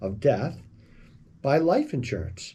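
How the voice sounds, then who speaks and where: A man's dark, mellow, somewhat breathy voice at medium pitch moves along at a fairly slow pace. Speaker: financial advisor, radio host. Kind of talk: financial commentary video. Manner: casual, conversational.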